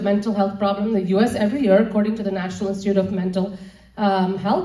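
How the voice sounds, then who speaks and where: The room echo is audible. A woman speaks at a fairly quick pace. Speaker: nutrition speaker. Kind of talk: lecture. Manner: fast.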